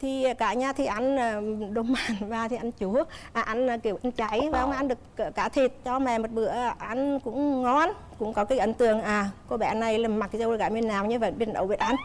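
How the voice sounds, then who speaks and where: An ordinary speaking voice from a woman, fairly high in pitch, fairly quick, with very even loudness and fairly even intonation. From Nghệ An, north-central Vietnam. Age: 60s. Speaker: mother-in-law on TV talk show. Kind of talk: TV talk show interview.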